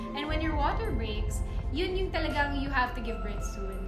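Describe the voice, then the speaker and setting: A woman at a moderate pace, with loud music in the background. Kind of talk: casual vlog chat. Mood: cheerful, animated storytelling. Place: home room.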